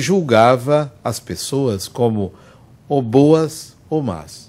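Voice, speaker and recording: Very slowly, a man talks as his pitch swings very widely up and down. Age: 60s. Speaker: spiritist lecturer. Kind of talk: lecture. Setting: spiritist center with audience.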